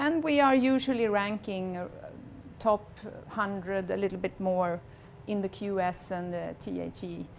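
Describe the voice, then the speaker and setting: With lively intonation and medium pitch, a woman talks at a moderate pace, leaving long, frequent pauses. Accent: Swedish. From Sweden. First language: Swedish. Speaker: university communications head. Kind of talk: conference talk. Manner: halting.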